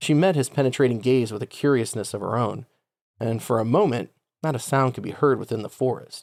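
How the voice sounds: A natural reading voice with ordinary pitch variation is heard, the background quiet.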